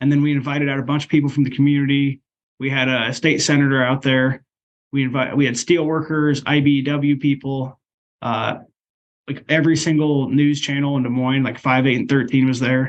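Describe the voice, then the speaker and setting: A man with an American accent, a fairly high pitch, monotone, flat intonation and a fairly quick pace. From Iowa (Ankeny). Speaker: union leader and delivery driver. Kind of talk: interview.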